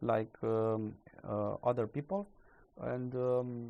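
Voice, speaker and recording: With a non-native accent, a male speaker talks in a medium pitch. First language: not English. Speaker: crypto YouTuber. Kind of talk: casual market commentary. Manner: halting, many fillers.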